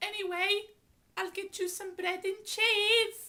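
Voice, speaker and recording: A woman's put-on character voice, squeaky and extremely high-pitched, at a fairly slow pace with monotone, flat intonation. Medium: audio drama. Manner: fussing, calls everyone darling.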